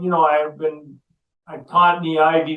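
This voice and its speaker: Speaking with an American accent, a man keeps a fairly high pitch, a moderate pace and a monotone, flat intonation. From US Northeast, Massachusetts. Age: 70s. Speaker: ecologist, professor. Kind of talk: interview.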